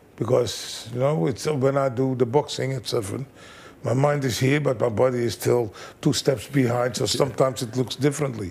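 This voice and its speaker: A man's fairly even intonation against noticeable background noise. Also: medium pitch for a man, moderate pace. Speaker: kickboxing trainer. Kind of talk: interview.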